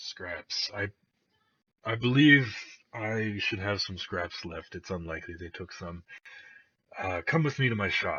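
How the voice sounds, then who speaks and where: Using a put-on character voice, a man with a raspy, medium-pitched sound talks at a fairly slow pace with long, frequent pauses. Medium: actual play.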